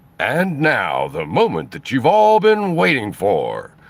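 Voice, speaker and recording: Putting on a character voice, a man speaks high in pitch at a fairly slow pace in a dramatic tone. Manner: booming, dramatic announcer voice.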